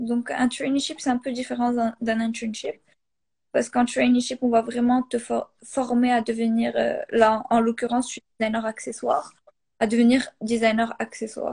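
A high-voiced woman speaks at a moderate pace in a flat monotone, her voice captured dry and close with no echo. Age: 20s. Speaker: industrial designer. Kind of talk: casual interview.

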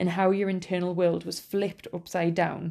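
With a Geordie accent, a woman speaks at a moderate pace in a dark, mellow, fairly low voice with vocal fry against a quiet background. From northeast England. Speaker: podcast host. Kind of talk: scripted-style solo podcast monologue, casual and informal. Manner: casual, humorous, laughs often.

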